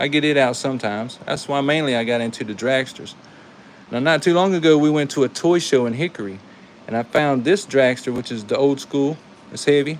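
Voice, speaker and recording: With a Carolina accent, a man speaks at a fairly quick pace in a fairly high pitch with ordinary pitch variation. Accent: Carolina twang. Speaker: toy car collector and YouTuber. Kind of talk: live stream commentary. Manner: casual, animated.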